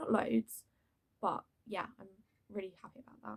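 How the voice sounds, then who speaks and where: A woman talks at a moderate pace in a somewhat breathy voice. The sound is dry and close, with no echo. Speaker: drama school student. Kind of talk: casual talk to camera.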